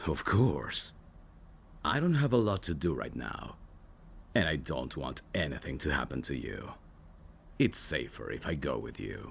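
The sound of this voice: Putting on a character voice, a man speaks at an extremely low pitch with vocal fry and big pitch swings, at a fairly slow pace broken by long, frequent pauses.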